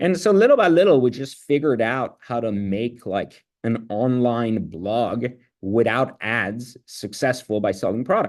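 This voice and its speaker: Speaking at a fairly slow pace with a non-native accent, a man uses a medium pitch and lively intonation. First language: not English. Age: 40s. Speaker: entrepreneur. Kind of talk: interview. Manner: casual, filler-heavy.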